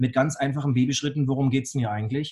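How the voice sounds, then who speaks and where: Here a man talks in a fairly high, somewhat breathy voice. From Bavaria, Augsburg. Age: 40s. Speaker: blockchain entrepreneur and speaker. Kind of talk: interview. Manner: halting, many fillers and repetitions.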